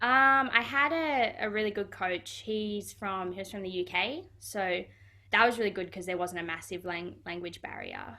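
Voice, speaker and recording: A woman with an Australian accent speaks at medium pitch and a moderate pace with lively intonation, on a very clean recording with a silent background. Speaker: footballer. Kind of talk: interview. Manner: casual, hesitant with fillers.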